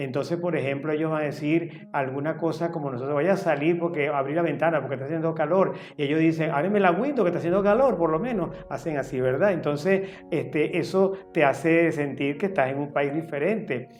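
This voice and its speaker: A man with a fairly high pitch talks at a fairly quick pace amid audible room echo and noticeable background noise. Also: ordinary pitch variation. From Venezuela, Caracas. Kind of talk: interview monologue.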